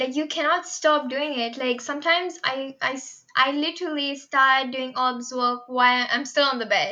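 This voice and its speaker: Raised and projected, a woman's high voice carries a bright, sharp tone, ordinary pitch variation and a moderate pace. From India, Mumbai. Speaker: university student club president. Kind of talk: podcast interview. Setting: remote recording at home.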